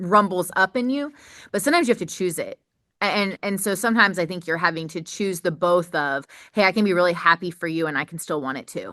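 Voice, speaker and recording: Loud and very fast, a woman with a bright, sharp tone and ordinary pitch variation is heard in a dry, close recording with no echo and a quiet background. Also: medium pitch for a woman. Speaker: podcast host. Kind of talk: casual chat.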